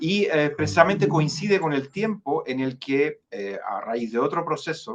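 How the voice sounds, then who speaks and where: A man with a Chilean accent at a fairly slow pace, with very wide pitch swings. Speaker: jurist, foundation director. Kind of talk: interview. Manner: halting, many fillers and repetitions.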